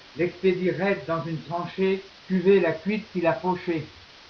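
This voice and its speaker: A man's high, monotone, flat voice at a fairly slow pace, with noticeable background noise. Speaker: slam poet. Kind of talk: poetry reading.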